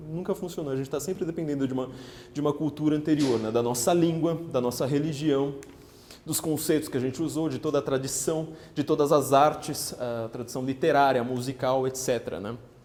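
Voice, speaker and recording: Fairly even in intonation, the speaker moves at a fairly quick pace with audible room echo. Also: man, fairly high pitch for a man. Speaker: political writer and lecturer. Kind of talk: lecture. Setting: parish hall with live audience. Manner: fast.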